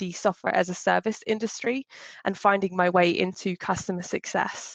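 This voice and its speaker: A woman's medium-pitched voice with a strong British accent and ordinary pitch variation, dry and close with no echo, in a quiet background. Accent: British English, still strong. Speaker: customer success executive, speaker. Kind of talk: short talk.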